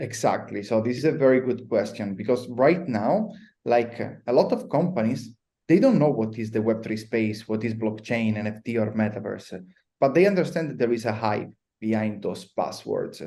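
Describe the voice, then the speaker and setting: A man's dark, mellow voice at medium pitch, with ordinary pitch variation and a moderate pace. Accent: Italian. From Italy. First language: Italian. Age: 30s. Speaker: blockchain consultant. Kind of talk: podcast interview.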